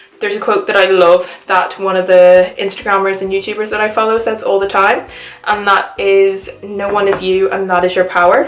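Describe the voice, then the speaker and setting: Over music in the background, a woman talks in an animated tone at a medium pitch. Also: moderate pace. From Ireland, County Cavan, with Liverpool family. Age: 20s. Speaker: lifestyle YouTuber. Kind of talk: casual Q&A vlog. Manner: chatty, animated.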